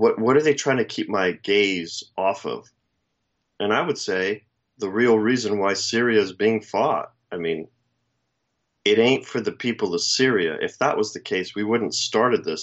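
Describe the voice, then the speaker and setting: Here a man with a fairly low pitch uses a normal speaking voice and ordinary pitch variation. His pace is fairly slow. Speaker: co-host. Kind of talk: casual chat. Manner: wry, opinionated.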